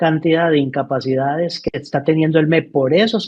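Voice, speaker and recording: A man speaks at a moderate pace in a fairly high voice, an unremarkable speaking voice. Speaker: educator. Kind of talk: interview.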